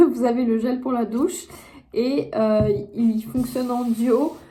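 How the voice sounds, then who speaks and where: Noticeable background noise surrounds a woman's voice. She speaks at a fairly high pitch with ordinary pitch variation. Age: 20s. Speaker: content creator and entrepreneur. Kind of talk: casual talk to camera.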